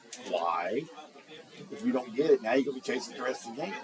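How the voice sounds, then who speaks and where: A man talks very fast at a medium pitch, his voice making very wide pitch swings and big jumps in loudness over noticeable background noise. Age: 60s. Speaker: sports commentator. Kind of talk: casual chat.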